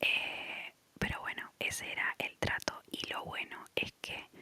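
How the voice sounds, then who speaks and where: Whispering at a very slow pace in a relaxed tone, a woman is heard over noticeable background noise. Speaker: ASMR content creator. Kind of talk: ASMR storytelling, casual talk to camera. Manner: soft, relaxed, whispery.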